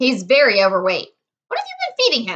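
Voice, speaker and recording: Using a put-on character voice, a woman speaks very fast at a high pitch with very wide pitch swings. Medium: read story. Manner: matter-of-fact.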